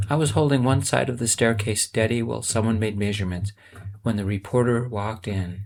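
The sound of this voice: An unforced reading voice carries the clip.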